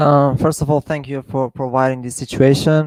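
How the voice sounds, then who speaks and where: Quiet and dry, with a close sound and no echo, a man with a non-native accent speaks at a moderate pace in a fairly high pitch with monotone, flat intonation. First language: not English. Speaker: caller. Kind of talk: Q&A question. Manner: quiet at first.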